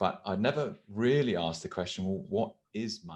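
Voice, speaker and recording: The speaker is a man with a British accent. His pitch variation is ordinary. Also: quiet background. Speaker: podcast host. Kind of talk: show introduction; casual chat.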